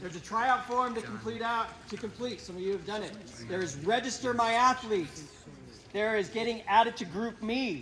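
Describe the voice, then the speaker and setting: With noticeable background noise present, the speaking pace is moderate. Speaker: high school swim coach. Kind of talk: team meeting briefing.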